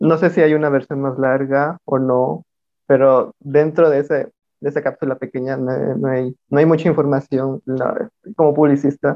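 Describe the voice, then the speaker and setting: This man's pitch runs fairly high and varies in an ordinary way. He uses an ordinary speaking voice at a moderate pace. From Mixtec community, coast of Oaxaca, Mexico. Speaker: artist collective member. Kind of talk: casual discussion.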